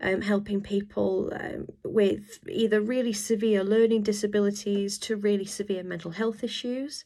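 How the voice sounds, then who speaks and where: A woman speaks at a moderate pace with hardly any pauses, her medium-pitched voice dark and mellow in tone and her intonation monotone and flat. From UK. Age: 30s. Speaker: online English tutor. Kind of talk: self-introduction video. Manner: casual with frequent filler words.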